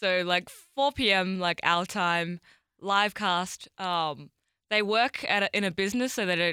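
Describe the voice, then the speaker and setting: A woman's fairly low voice with an Australian accent, ordinary pitch variation and a bright, sharp tone, dry and close with no echo on a very clean recording with a silent background. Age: 20s. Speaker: world record holder. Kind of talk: interview conversation.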